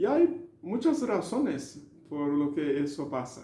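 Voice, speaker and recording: Speaking at a very slow pace with a Brazilian accent, a man uses a fairly high pitch and ordinary pitch variation, with audible room echo. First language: Portuguese (speaking Spanish). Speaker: language learning educator. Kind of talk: video lecture. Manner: halting, with filler sounds.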